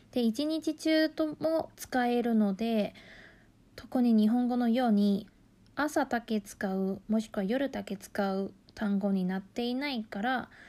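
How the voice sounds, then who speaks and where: On a very clean recording with a silent background, a woman with a Mandarin Chinese accent speaks fairly slowly at a fairly high pitch, her tone dark and mellow and her pitch variation ordinary. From Taiwan. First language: Mandarin Chinese (speaking Japanese). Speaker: language teacher. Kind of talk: tutorial.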